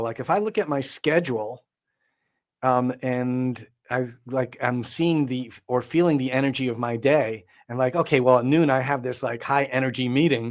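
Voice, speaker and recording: A man speaks at a moderate pace in a normal speaking voice, medium in pitch with ordinary pitch variation. The recording is very clean and the background silent. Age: 60s. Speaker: composer and sound healing expert. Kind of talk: podcast interview.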